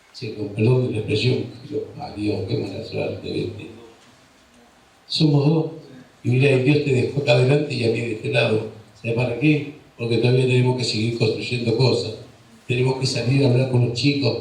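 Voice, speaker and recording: Medium-pitched male voice at a moderate pace, fairly even in intonation, with long, frequent pauses, audible room echo and noticeable background noise. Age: 60s. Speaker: political speaker. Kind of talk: political speech. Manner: impassioned.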